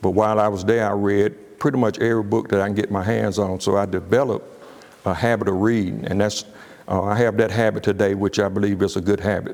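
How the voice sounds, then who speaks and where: A man speaks at a very fast pace in a fairly low pitch. His intonation is monotone and flat, and his loudness stays very even. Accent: Alabama. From US South, Birmingham, Alabama. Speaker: business coach. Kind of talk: casual personal story. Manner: halting, many fillers and repeats.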